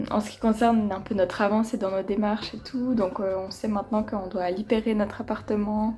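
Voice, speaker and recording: With a Vaud accent, a woman speaks at a moderate pace in a fairly high voice with fairly even intonation, over noticeable background noise. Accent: Vaudois Swiss French. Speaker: vlogger. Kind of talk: casual vlog talk to camera. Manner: hesitant, many fillers.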